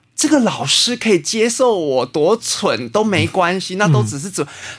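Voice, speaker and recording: A man's high-pitched voice with very wide pitch swings at a moderate pace. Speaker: botanist and natural healing teacher. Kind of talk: interview conversation; guided meditation.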